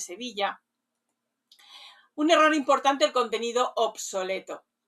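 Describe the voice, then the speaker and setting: A woman talks at a moderate pace in a plain, everyday voice. Her pitch is fairly high, with ordinary variation. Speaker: community manager specialized in rural lodging, radio host. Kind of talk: professional consulting review of a website, talking to camera.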